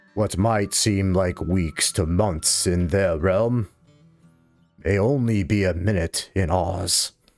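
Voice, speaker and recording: Faint music sits behind a man using a put-on character voice, very deep and low, at a fairly slow pace. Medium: actual play. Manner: grandfatherly, crotchety, wry.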